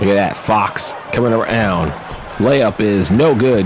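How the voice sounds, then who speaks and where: Over noticeable background noise, a man talks in a fairly low voice with ordinary pitch variation. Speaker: video game commentator. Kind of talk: live play-by-play commentary. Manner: fast; subdued, not very excited.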